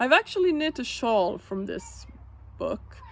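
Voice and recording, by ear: A woman's voice with vocal fry and big pitch swings, at a moderate pace.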